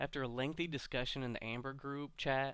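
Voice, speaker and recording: At a fairly quick pace, a man speaks in a bright, sharp tone at medium pitch on a very clean recording with a silent background. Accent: American. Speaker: virtual drag car builder. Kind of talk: scripted video intro. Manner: nervous, not practiced.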